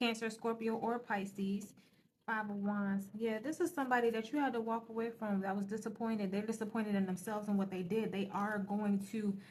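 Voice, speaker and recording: A woman's fairly high, somewhat breathy voice at a fairly quick pace, with fairly even intonation. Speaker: tarot reader. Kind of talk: tarot reading. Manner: fast.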